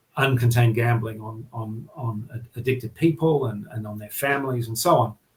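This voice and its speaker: In an Australian accent, a man sounds somewhat breathy and keeps a fairly even intonation. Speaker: journalist, regional editor. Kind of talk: podcast interview. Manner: halting, many fillers and repetitions.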